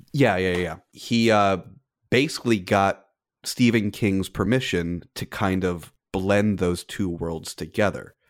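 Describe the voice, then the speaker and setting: With a plain, everyday voice, a man speaks at a fairly slow pace in a fairly low pitch with ordinary pitch variation, captured in a very clean recording over a silent background. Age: 30s. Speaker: film industry professional. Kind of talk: casual chat.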